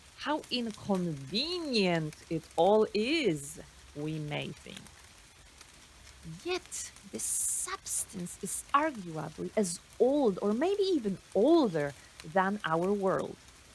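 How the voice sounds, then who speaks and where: A woman at a medium pitch speaking at a very slow pace, with very wide pitch swings, big swings in loudness and noticeable background noise. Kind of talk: spoken word poetry reading. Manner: slow, reflective.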